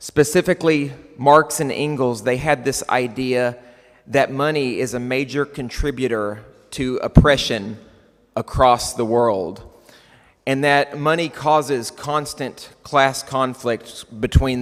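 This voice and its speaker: Here is a man with a medium-pitched voice. He talks at a fairly slow pace. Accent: West Texas. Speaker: keynote speaker. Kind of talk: conference keynote. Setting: stage with audience.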